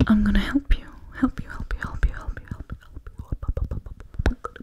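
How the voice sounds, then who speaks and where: A woman whispers, keeping a moderate pace. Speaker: ASMR creator. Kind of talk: soft ASMR talk and chat. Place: home room. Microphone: studio mic.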